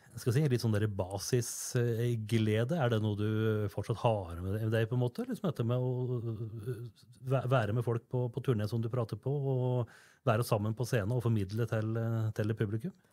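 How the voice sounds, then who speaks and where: A man with an ordinary speaking voice talks at a fairly slow pace and medium pitch, his intonation fairly even. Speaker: podcast host. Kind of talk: interview.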